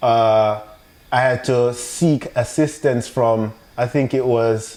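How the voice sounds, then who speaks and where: A man speaks with a Jamaican accent at a medium pitch. Background noise is noticeable. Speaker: business owner, entrepreneur. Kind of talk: podcast interview. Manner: halting.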